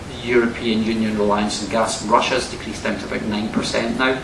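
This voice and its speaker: A man's medium-pitched voice with a strong Scottish accent at a very fast pace, amid noticeable background noise and audible room echo. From Scotland. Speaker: academic and former politician. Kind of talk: university lecture Q&A answer.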